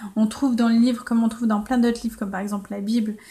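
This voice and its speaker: A woman speaks in a flat monotone. Her fairly high voice sounds somewhat breathy. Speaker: life coach and blogger. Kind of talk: solo podcast monologue. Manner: casual, with frequent hesitations.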